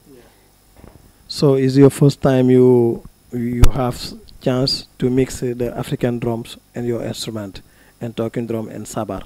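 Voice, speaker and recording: With a strong non-native accent, a man talks at a fairly slow pace in a dark, mellow tone, his intonation fairly even, his loudness swinging widely, and his pauses long and frequent. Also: medium pitch for a man. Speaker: drummer and interviewer. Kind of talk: casual interview. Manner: halting.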